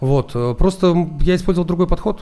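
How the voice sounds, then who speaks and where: On a very clean recording with a silent background, a man speaks at a moderate pace in a dark, mellow tone. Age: 40s. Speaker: entrepreneur, founder of an ad automation service. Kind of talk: interview.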